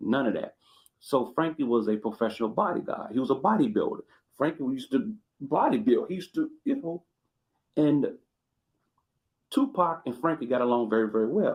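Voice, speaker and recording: A man with an American accent at a fairly high pitch, his very wide pitch swings broken by long, frequent pauses at a fairly quick pace. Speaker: YouTube commentator. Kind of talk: casual live commentary. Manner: animated.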